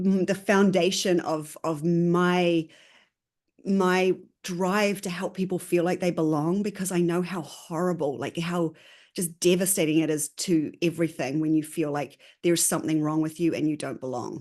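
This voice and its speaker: With a strong New Zealand accent, a woman speaks at a moderate pace in a fairly low pitch, her intonation fairly even against a quiet background. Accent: New Zealand, still pretty strong. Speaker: consultant. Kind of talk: interview.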